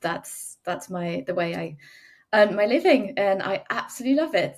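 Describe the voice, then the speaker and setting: A woman speaks with a slight French accent. Her intonation is lively. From France. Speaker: wedding photographer. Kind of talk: podcast interview.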